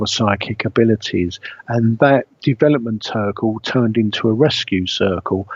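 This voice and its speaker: At a moderate pace, someone talks with a British accent. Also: man. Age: 60s. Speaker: spiritual medium. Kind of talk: radio interview talk. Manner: halting, with many fillers.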